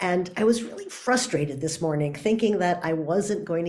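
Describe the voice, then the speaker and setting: Lively intonation colors a woman's fairly low pitch at a moderate pace, with noticeable background noise and audible room echo. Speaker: author and workshop speaker. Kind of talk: talk.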